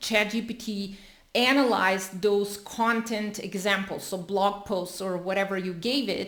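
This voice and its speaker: Audible room echo surrounds a woman with a non-native accent. She talks at a fairly slow pace. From Europe. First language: not English, a European language. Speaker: content creator. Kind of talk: tutorial. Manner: casual, with fillers.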